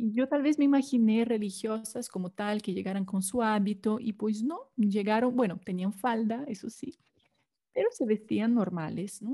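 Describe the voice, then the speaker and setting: Speaking at a moderate pace with a Brazilian accent, a woman has a dark, mellow, somewhat breathy tone and ordinary pitch movement. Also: fairly high pitch for a woman. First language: Portuguese (speaking Spanish). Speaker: consecrated laywoman. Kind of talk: testimony.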